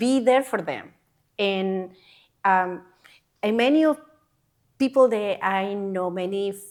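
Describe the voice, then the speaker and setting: A woman with a Panamanian accent, medium pitch and ordinary pitch variation, fairly slow with long, frequent pauses, on a very clean recording with a silent background. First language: Spanish. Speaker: healthcare worker. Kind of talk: interview answer.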